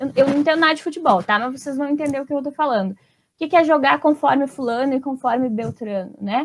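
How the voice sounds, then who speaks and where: Talking at a very fast pace, a woman uses a high pitch, an animated tone and ordinary pitch variation. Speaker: literature teacher. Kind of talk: video lesson.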